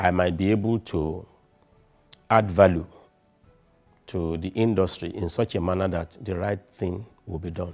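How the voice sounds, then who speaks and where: With faint music in the background, a man with a very deep, low pitch talks at a fairly slow pace with fairly even intonation. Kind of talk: interview answer. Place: home room. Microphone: lapel.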